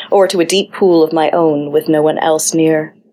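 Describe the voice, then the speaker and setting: A playful tone at a moderate pace. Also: woman. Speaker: podcast host and poet. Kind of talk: poem reading. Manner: expressive, measured, performative delivery; playful, wry.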